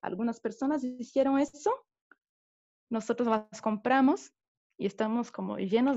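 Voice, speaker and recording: A woman with a Brazilian accent has a fairly high voice. The background is quiet. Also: dry, close sound with no echo. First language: Portuguese (speaking Spanish). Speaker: theatre director and teacher. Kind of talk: talk in a video interview. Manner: halting.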